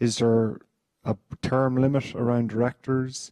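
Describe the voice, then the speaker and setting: A man with an Irish accent, medium pitch and fairly even intonation, in a dry, close sound with no echo. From Ireland. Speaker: fund member asking a question. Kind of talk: audience question at meeting.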